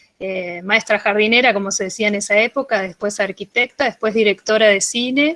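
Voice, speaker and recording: With a bright, sharp tone and a fairly high pitch, a woman speaks at a moderate pace with ordinary pitch variation, the sound dry and close with no echo. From Argentina, Bariloche (Patagonia). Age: 40s. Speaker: radio producer of children's content. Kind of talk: interview, casual explanation.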